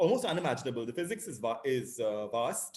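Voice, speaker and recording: The speaker is a man. Very wide swings mark his pitch. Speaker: astronomy lecturer. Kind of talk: lecture. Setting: video call. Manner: fast.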